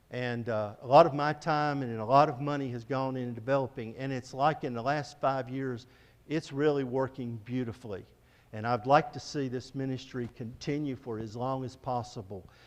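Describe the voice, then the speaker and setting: Delivered with fairly even intonation at a moderate pace, this is an ordinary speaking voice. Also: man, medium pitch for a man. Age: 60s. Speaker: missionary. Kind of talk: church presentation.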